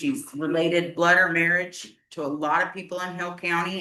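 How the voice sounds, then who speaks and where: Loud and at a moderate pace, a woman with a fairly low voice speaks amid audible room echo. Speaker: resident speaking at public hearing. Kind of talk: public comment at county meeting. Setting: county commissioners court hearing. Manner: emotional, halting.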